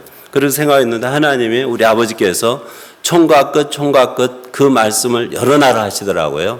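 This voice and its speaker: Over noticeable background noise and audible room echo, a man of medium pitch talks at a moderate pace with very even loudness and ordinary pitch variation. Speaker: pastor. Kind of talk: sermon.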